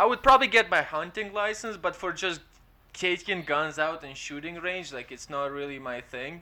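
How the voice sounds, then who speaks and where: In an Eastern European accent, a man talks at a moderate pace with a high, bright, sharp voice. His intonation is lively, and his loudness swings widely. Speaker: stand-up comedian. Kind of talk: casual chat. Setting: remote call.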